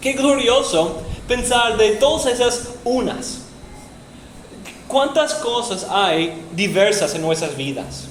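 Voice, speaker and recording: Amid noticeable background noise and audible room echo, a man speaks at an extremely high pitch with very wide pitch swings, a very slow pace, and long, frequent pauses. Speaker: pastor. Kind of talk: sermon. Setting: church, in person.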